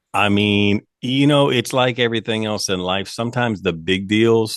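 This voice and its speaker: Moderate pace and ordinary pitch variation. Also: man. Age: 50s. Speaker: country singer and former reality TV cast member. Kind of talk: podcast interview. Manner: projecting.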